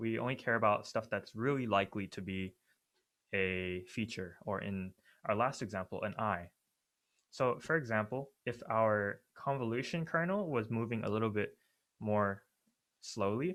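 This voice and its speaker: On a very clean recording with a silent background, a man with an ordinary speaking voice talks at medium pitch and a moderate pace with ordinary pitch variation. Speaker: student workshop leader. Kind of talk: lecture.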